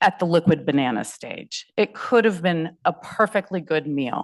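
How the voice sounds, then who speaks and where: A loud voice speaks at a fairly slow pace with very wide pitch swings over a quiet background. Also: woman. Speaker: food rescue nonprofit director, panel speaker. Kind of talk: panel presentation.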